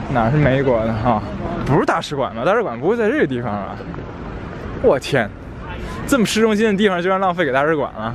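The speech runs at a very fast pace broken by long, frequent pauses, with noticeable background noise and a dry sound with no echo. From Tianjin. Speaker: travel vlogger. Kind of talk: casual banter with a friend. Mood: joking, laughing. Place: street. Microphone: phone near.

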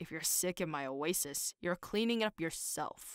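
Heard on a very clean recording with a silent background, a put-on character voice at a middle pitch keeps a moderate pace. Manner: acerbic, sharp.

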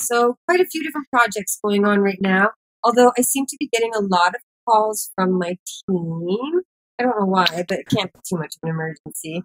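At a fairly quick pace, a woman talks with lively intonation. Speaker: cannabis activist and entrepreneur; podcast guest. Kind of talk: podcast interview. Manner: animated, enthusiastic. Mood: warm, relaxed. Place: home room. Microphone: webcam.

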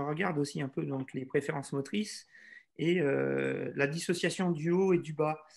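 Using a plain, everyday voice, a man speaks at a fairly slow pace with a fairly high pitch. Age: 40s. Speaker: tennis instructor. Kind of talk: webinar Q&A. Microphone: video call.

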